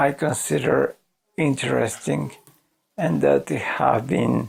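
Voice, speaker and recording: His voice makes very wide pitch swings as the man speaks. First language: Spanish. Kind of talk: casual talk to camera. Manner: slow.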